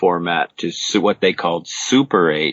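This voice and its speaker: A man speaks in a Montreal accent at a very deep, low pitch. His pace is fairly slow. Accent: Canadian English, Montreal. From Quebec, Canada (Montreal). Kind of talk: interview. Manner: hesitant, many fillers.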